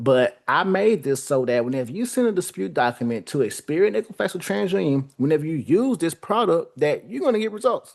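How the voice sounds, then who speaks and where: A man with an American accent talks at a very fast pace, his pitch swinging very widely. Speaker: credit repair business owner. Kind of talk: product demo livestream. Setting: livestream.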